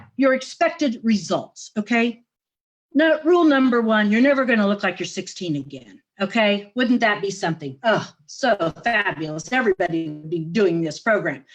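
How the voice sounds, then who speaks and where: Over music in the background, a woman with a fairly high pitch speaks at a moderate pace, her pitch swinging very widely. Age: 70s. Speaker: facial exercise coach. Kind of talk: interview. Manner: animated.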